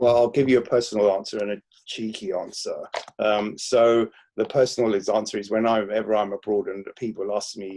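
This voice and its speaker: Here a man with a London accent speaks at a fairly quick pace over a quiet background. His medium-pitched voice has a dark, mellow tone and a flat, monotone delivery. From London (Crouch End, north London), Greek Cypriot family. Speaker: historian, professor and author. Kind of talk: Q&A at book talk. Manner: hesitant, many fillers.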